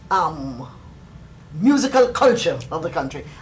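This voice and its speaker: A woman with a Jamaican accent and very wide pitch swings. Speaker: folklorist. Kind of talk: interview answer. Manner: bright, sunny. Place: home room.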